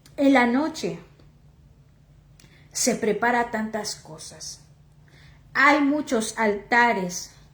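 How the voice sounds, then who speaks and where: In a room with audible echo, a woman with a fairly high pitch speaks at a very slow pace, with ordinary pitch variation, big swings in loudness and long, frequent pauses. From Oaxaca, Mexico. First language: Chatino (speaking Spanish). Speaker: lay preacher. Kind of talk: sermon. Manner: halting.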